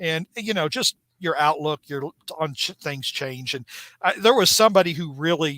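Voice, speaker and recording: This man has a fairly high pitch and a bright, sharp tone. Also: dry, close sound with no echo. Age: 50s. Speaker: spider-man comics podcast co-host and writer. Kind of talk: casual podcast chat. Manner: halting, many restarts and fillers.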